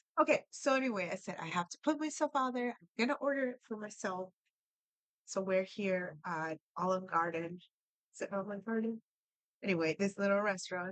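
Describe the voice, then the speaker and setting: In dry, close sound with no echo, a woman with a Spanish accent speaks at a fairly quick pace, with lively intonation and a medium pitch. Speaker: language learning vlogger. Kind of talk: casual storytelling. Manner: conversational, with fillers.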